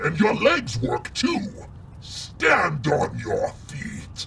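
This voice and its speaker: Growling in a put-on character voice, a man talks at a very slow pace over clear background noise. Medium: audio drama. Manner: mocking, commanding.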